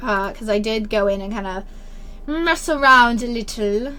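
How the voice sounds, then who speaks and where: A woman speaks at a moderate pace with a fairly high pitch and a bright, sharp tone. There is audible room echo. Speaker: gaming youtuber. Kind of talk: gameplay commentary. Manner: chatty, rambling.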